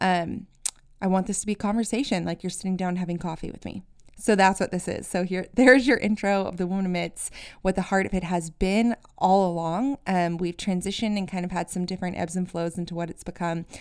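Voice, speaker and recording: With an American accent, a woman speaks at a medium pitch in a plain, everyday voice, on a very clean recording with a silent background. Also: fairly even intonation, fairly quick pace. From US. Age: 30s. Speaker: podcast host. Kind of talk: casual monologue.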